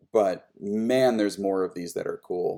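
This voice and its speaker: A very clean recording of a male voice, the background silent. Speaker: streamer opening trading card packs. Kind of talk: live stream card opening commentary. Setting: live stream. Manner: loud.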